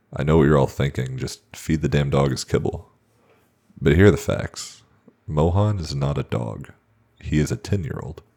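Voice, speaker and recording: A man with a very deep, low pitch and a dark, mellow tone uses vocal fry, speaking at a moderate pace with ordinary pitch variation and long, frequent pauses. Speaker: horror story narrator. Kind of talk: horror story narration.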